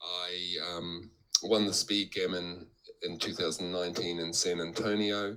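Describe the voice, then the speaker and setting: With a New Zealand accent, a man speaks in a very deep, low pitch. His tone is bright and sharp, and his intonation is monotone and flat. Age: 60s. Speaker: backgammon player and teacher. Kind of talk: interview. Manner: halting, many fillers.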